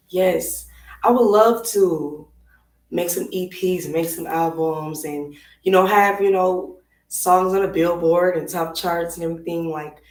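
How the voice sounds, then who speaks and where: Audible room echo surrounds a woman speaking fairly slowly at a fairly low pitch, her intonation fairly even but her loudness swinging widely. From Minneapolis, Minnesota. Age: 20s. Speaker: singer. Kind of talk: interview. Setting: live stream.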